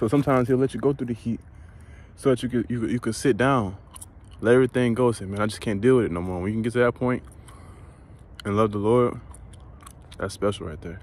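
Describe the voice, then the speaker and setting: Ordinary pitch variation runs through a very fast delivery broken by long, frequent pauses, with a dry sound and no echo. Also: man, medium pitch for a man. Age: 20s. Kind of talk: informal devotional talk. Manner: casual, frequent laughing. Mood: reflective, encouraging. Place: open country. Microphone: phone near.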